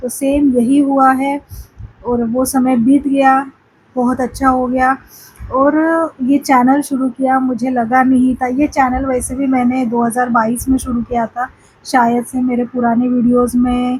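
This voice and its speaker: In a Marathi accent, a woman speaks with a high pitch and flat, monotone intonation. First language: Marathi (speaking Hindi). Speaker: spiritual vlogger. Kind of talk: casual vlog talk to camera. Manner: halting, many fillers.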